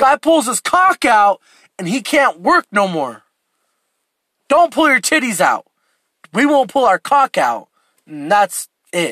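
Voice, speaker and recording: A man speaks in an extremely high, bright and sharp voice, raised and projected, with very wide pitch swings, an animated tone, a fairly slow pace and long, frequent pauses, on a very clean recording with a silent background. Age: 20s. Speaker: solo podcast host. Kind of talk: casual rant.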